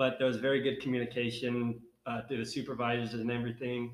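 Speaking at a very fast pace, a man with a Minnesotan accent has a medium-pitched voice. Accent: Minnesotan, northern US. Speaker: graduate assistant.

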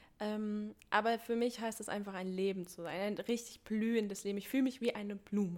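Speaking fairly quickly with hardly any pauses, a woman uses a plain, everyday voice at a fairly high pitch with fairly even intonation. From Thuringia, Germany. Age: 20s. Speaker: community initiative organizer, working student. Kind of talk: casual interview chat.

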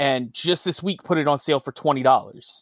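Recorded very cleanly with a silent background and a dry, close sound with no echo, a man with an American accent and fairly high pitch speaks in an ordinary speaking voice at a moderate pace with fairly even intonation. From US East Coast. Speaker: podcast co-host and gamer. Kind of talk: casual chat.

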